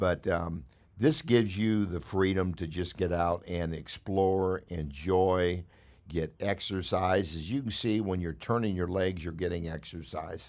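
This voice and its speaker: On a very clean recording with a silent background, a man with a very deep, low pitch talks at a fairly slow pace with ordinary pitch variation. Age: 70s. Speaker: e-bike YouTuber. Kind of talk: casual vlog narration while riding. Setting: outdoors on a trike. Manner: halting, many fillers.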